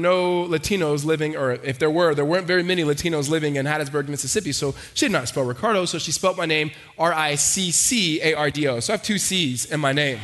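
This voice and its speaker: Speaking very fast with an American accent, a man uses a fairly high pitch and ordinary pitch variation against noticeable background noise. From Los Angeles. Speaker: pastor. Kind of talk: sermon. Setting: church. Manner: fast talker.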